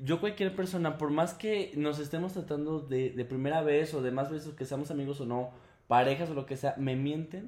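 A man with an ordinary speaking voice, fairly high in pitch, with ordinary pitch variation and a moderate pace. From León, Guanajuato, Mexico. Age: 20s. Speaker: performance artist. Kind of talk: casual chat.

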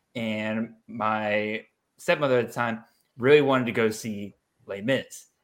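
With an unremarkable speaking voice, a man talks at a moderate pace and medium pitch with fairly even intonation, on a very clean recording with a silent background. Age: 20s. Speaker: college fantasy football analyst and podcast host. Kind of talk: casual chat.

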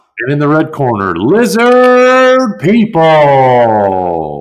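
In a put-on character voice, a man speaks at a very slow pace. His fairly high pitch swings very widely. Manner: shouting, exaggerated ring-announcer delivery.

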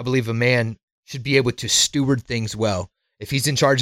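In a very clean recording with a silent background and a dry, close sound with no echo, a man speaks at a fairly quick pace in a normal speaking voice with medium pitch. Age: 30s. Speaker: men's coach. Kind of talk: casual chat.

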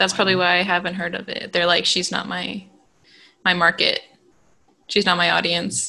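A woman's fairly low, monotone voice with vocal fry and a bright, sharp tone, at a fairly quick pace broken by long, frequent pauses. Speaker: podcast host. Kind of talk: casual chat between cousins. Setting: remote recording.

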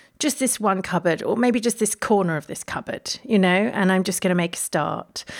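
On a very clean recording with a silent background, a woman speaks at a medium pitch. She moves at a fairly quick pace with lively intonation. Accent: London. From London, England. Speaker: gardener and writer. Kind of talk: casual interview chat. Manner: hesitant, many fillers and repeats.

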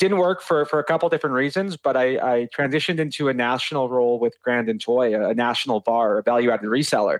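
A man with a Canadian Prairies accent at a fairly quick pace, ordinary pitch variation, and a dry, close sound with no echo. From Saskatoon, Saskatchewan, Canada. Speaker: IT sales director. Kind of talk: casual interview.

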